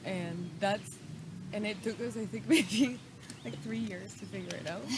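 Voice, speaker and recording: A woman speaks at a fairly slow pace with a Spanish accent. There is noticeable background noise and audible room echo. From Mexico. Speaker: wellness podcast host. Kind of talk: casual chat. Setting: outdoors in a park.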